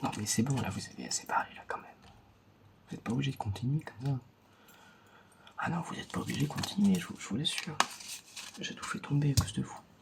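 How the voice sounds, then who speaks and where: Whispering over noticeable background noise, a man takes long, frequent pauses, and his loudness swings widely. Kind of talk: ASMR roleplay card reading, soft close-up talk to the viewer. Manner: soft-spoken, slow.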